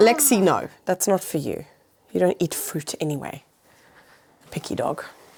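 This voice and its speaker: A woman speaks at a fairly slow pace and a medium pitch. Her pitch swings very widely, and she takes long, frequent pauses. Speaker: houseplant youtuber. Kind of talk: casual chat.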